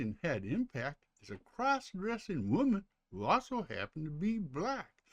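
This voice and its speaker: A man at a moderate pace with very wide pitch swings, in a dry, close sound with no echo against a quiet background. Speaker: YouTuber presenting history topics. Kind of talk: narrated history video; casual aside to viewers. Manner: casual, some fillers and stumbles.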